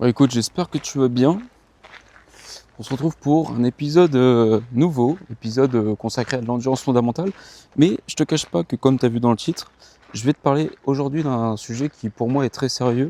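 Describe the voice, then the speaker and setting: With a dark, mellow tone, a man talks at a fairly quick pace in a dry, close sound with no echo. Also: medium pitch for a man, ordinary pitch variation, quiet background. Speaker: running vlogger. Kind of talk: casual vlog monologue. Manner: halting, hesitant.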